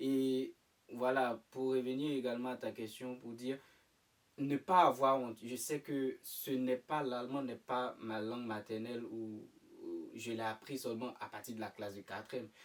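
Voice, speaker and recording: This man talks at a fairly slow pace. His voice sits at a medium pitch with fairly even intonation. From Ivory Coast. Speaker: student living abroad. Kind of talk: interview. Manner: hesitant.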